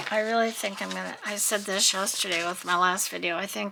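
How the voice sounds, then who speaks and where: A soft-spoken woman talks at a moderate pace with an American accent. Noticeable background noise runs underneath. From US West Coast (Southern California). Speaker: craft video creator. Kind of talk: crafting tutorial-style narration. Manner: mumbling to herself.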